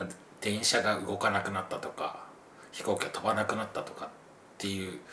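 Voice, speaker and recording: A man's fairly low voice with ordinary pitch variation, a fairly quick pace and long, frequent pauses, over noticeable background noise and audible room echo. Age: 40s. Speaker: travel podcast guest. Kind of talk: casual chat.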